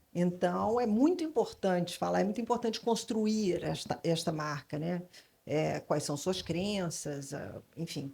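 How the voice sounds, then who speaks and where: A woman speaks with a somewhat breathy voice, a dark, mellow tone and lively intonation. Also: fairly low pitch for a woman, fairly slow pace. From Brazil, Rio / São Paulo / Salvador. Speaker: advertising creative consultant. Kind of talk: panel discussion. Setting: stage with audience at literary festival. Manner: hesitant, many fillers.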